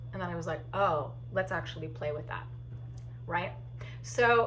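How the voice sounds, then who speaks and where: A woman speaks in an animated tone, with music in the background and audible room echo. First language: deaf or hard of hearing; uses sign language. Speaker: solo theatre artist and actor. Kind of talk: casual talk giving tips. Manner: halting with fillers.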